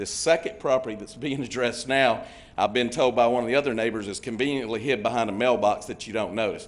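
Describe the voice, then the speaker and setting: A man speaks with a Georgia accent. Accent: US Southern (Georgia). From Georgia, Henry County. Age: 60s. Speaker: resident speaking at public hearing. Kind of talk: public comment at zoning meeting.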